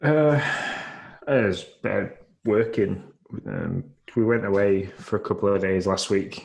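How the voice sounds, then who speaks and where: With a Yorkshire accent, a man speaks very slowly at fairly low pitch with ordinary pitch variation, leaving long, frequent pauses. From northern England, Yorkshire. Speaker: podcast co-host. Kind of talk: casual chat.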